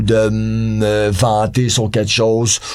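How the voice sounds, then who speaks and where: Clear background noise fills the recording. Through it, a man talks. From Quebec, North Shore of Montreal. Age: 40s. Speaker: punk rock musician. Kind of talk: casual chat.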